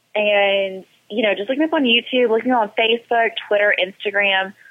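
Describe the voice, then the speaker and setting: Using a normal speaking voice, a woman talks at a fairly high pitch and moderate pace with ordinary pitch variation. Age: 20s. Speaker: professional wrestler. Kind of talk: interview.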